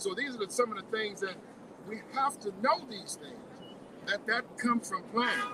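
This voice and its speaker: A raised, projected voice with an American accent, ordinary pitch variation, big swings in loudness, long and frequent pauses, and noticeable background noise. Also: man, high pitch for a man, moderate pace. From Pembroke, Illinois (rural US Midwest). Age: 60s. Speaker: farmer and community advocate. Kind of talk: public speech at a rally. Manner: halting, many repetitions and fillers.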